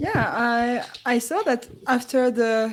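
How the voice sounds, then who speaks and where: With a French accent, a woman speaks at a fairly high pitch. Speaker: chess commentator. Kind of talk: live commentary.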